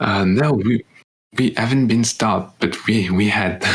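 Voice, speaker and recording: A man speaks with a French accent. His intonation stays fairly even. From France. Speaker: podcast co-host, exchange student. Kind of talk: casual chat. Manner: halting.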